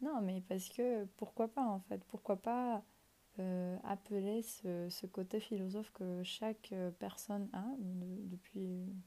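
Fairly even in intonation, the voice has a dark, mellow tone and moves at a very slow pace. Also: woman, medium pitch for a woman. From Ecuador. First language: Spanish (speaking French). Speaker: podcast host. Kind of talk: reflective monologue. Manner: hesitant at times.

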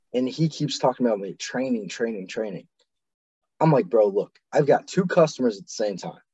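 A man talks with a Midwestern US accent. His pitch swings very widely. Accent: US Midwest. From Ohio, Medina. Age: 20s. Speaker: Marine veteran. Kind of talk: casual chat.

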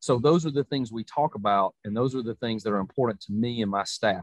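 Here is a man with a Southern US accent. His pitch is medium. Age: 40s. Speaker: college football coach. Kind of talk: interview.

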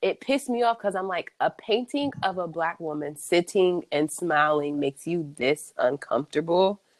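A woman speaks in a plain, everyday voice at a moderate pace. Her pitch is fairly low, with lively intonation. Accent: American. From US Midwest (Columbus, Ohio). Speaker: artist. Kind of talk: casual interview.

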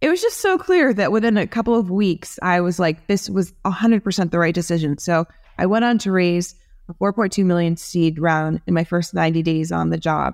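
A woman with an American accent talks in a normal speaking voice at a fairly quick pace, fairly low in pitch with ordinary pitch variation and very even loudness, against a quiet background. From New Jersey. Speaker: tech executive and company founder. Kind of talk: casual interview.

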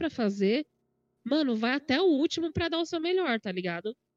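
Dry, close woman's voice with no echo, high in pitch with very wide swings, at a moderate pace. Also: quiet background. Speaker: podcast host and gaming youtuber. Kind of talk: casual chat. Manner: loud.

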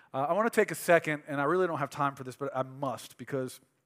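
In a very clean recording with a silent background and a dry, close sound with no echo, a man has an ordinary speaking voice, ordinary pitch variation and a moderate pace. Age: 30s. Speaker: pastor. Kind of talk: sermon. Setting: church.

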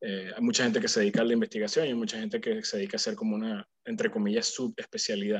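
In a dry, close recording with no echo, a man talks at a very fast pace with hardly any pauses. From Venezuela. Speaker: physician, pulmonologist. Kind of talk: casual conversation. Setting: video call. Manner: hesitant, many fillers.

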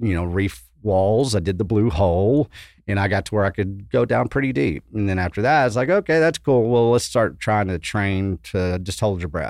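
A man with a Texan accent talks at a moderate pace in a fairly low pitch, his intonation lively against a quiet background. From West Texas. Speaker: event organizer. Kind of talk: casual chat.

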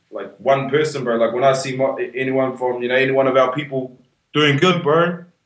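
A man's medium-pitched voice at a fairly quick pace, with fairly even intonation and audible room echo. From New Zealand, Whanganui. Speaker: hip hop artist. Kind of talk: casual interview.

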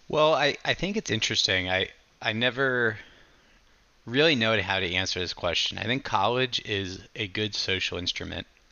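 Using an ordinary speaking voice, a man with an American accent talks at a moderate pace and medium pitch with ordinary pitch variation. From Maryland, US. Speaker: podcast host. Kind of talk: podcast interview.

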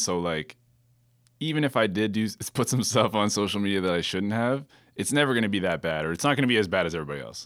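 A very fast, fairly low-pitched man's voice on a very clean recording with a silent background. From Kitchener-Waterloo, Ontario, Canada. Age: 30s. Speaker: DJ. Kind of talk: casual chat.

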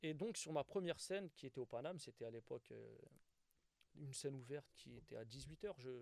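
A man speaks in a plain, everyday voice at a fairly high pitch and moderate pace. His intonation is lively, with hardly any pauses. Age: 30s. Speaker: stand-up comedian. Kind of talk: casual interview.

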